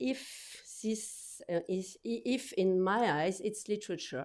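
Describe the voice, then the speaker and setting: A woman speaks at a very slow pace in a dark, mellow tone. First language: French. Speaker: book publisher. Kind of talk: conference talk. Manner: halting, many repetitions and fillers.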